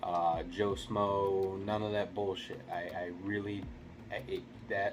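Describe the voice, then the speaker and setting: A quiet man at a fairly slow pace, with audible room echo and noticeable background noise. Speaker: gaming YouTuber. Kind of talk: casual video review monologue. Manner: keeping voice down, quiet; rambling with fillers and repeats.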